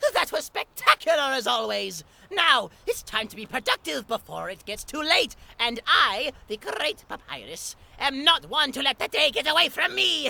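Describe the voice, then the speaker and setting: Putting on a character voice, a man talks at a moderate pace with an extremely high pitch. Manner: upbeat.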